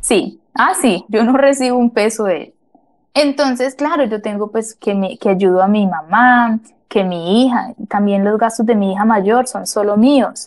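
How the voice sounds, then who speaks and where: Fairly high in pitch with ordinary pitch variation, a woman speaks in an ordinary speaking voice. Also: fairly slow pace. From Colombia, Mariquita, Tolima. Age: 30s. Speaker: interviewee, house cleaner. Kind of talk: interview storytelling.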